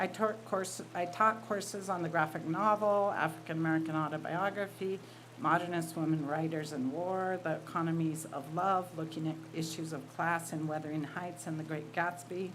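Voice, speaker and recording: A woman's fairly low voice at a moderate pace, fairly even in intonation, with hardly any pauses and audible room echo. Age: 60s. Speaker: writer and college teacher. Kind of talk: reading aloud.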